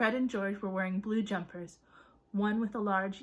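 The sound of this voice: This is an unforced reading voice. The words are read without strain.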